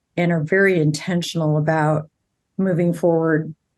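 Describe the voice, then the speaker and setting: Speaking at a moderate pace, a woman with an ordinary speaking voice keeps a fairly low pitch and fairly even intonation. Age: 60s. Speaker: family law attorney. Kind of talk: interview conversation. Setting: podcast interview.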